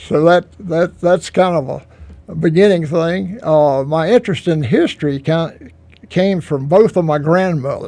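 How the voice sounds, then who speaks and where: With a Southern US accent, a man speaks at a high pitch and a very slow pace, with a dark, mellow tone and ordinary pitch variation. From US South, Iredell County, North Carolina. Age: 80s+. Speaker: local historian. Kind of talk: radio interview. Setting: radio studio.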